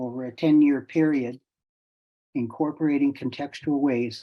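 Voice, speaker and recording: A man with a plain, everyday voice, medium in pitch, at a fairly slow pace. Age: 60s. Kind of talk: presentation to online audience. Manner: casual, repetitive false starts.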